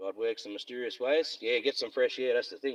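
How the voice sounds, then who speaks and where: Recorded with a dry, close sound with no echo, a man with an Australian accent speaks at a fairly quick pace. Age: 50s. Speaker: live streamer. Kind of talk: casual chat. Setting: in a car.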